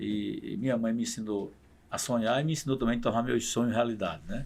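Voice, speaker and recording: There's vocal fry as a man talks fairly quickly at medium pitch. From Paraíba, Brazil (Pocinhos). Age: 60s. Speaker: state politician. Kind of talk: podcast interview.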